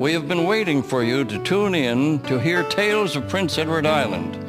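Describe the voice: The speaker has lively intonation and a fairly slow pace. Clear music plays in the background. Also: man.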